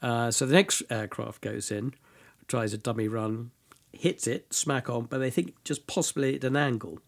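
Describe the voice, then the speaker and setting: On a very clean recording with a silent background, a man talks with a British accent. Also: medium pitch for a man, ordinary pitch variation, moderate pace. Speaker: military history tour guide and speaker. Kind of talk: informal historical talk in interview. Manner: fluent, hesitant with fillers.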